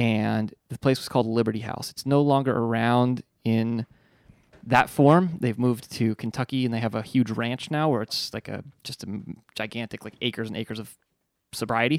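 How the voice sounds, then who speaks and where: In a very clean recording with a silent background and a dry, close sound with no echo, a man uses an ordinary speaking voice with fairly even intonation and big swings in loudness. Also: medium pitch for a man, moderate pace. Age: 30s. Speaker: recovering addict. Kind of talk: casual chat.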